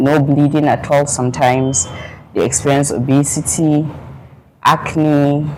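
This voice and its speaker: A woman speaks with a northern Nigerian accent in a very deep, low pitch and fairly even intonation. Her pace is fairly slow, broken by long, frequent pauses. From northern Nigeria, Zaria. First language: Fulani. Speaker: pharmacist. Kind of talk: interview.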